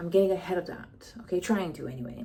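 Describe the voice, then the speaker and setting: A woman's medium-pitched, animated voice with ordinary pitch variation against noticeable background noise. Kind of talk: personal vlog monologue.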